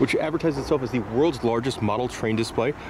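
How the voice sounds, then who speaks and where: A man talks at a very fast pace. There is noticeable background noise, and the sound is dry with no echo. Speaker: travel vlogger. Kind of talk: casual vlog chat. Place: street. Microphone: phone near.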